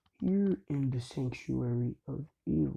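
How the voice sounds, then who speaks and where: A man uses a put-on character voice at a medium pitch. He talks at a fairly slow pace. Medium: solo performance. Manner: polite, measured.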